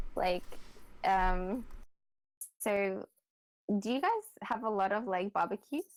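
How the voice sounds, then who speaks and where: Speaking in an Australian accent, a woman keeps a medium pitch, a fairly slow pace and fairly even intonation, with a dry, close sound and no echo. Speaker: podcast guest. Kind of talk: casual chat. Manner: halting, filler-heavy.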